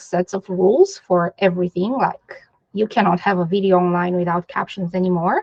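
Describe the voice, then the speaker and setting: Here a woman speaks at medium pitch. The sound is dry and close, with no echo. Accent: non-native. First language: not English. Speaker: digital accessibility specialist. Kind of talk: interview.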